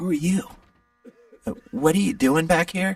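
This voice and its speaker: A man puts on a character voice that is raspy. His pitch sits high. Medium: video game. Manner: hesitant, rambling.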